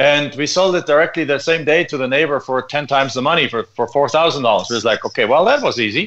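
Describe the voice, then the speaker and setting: Over a quiet background, a man with a fairly high pitch and ordinary pitch variation speaks at a very fast pace with hardly any pauses. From Germany. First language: German. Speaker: land investor. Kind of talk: radio interview.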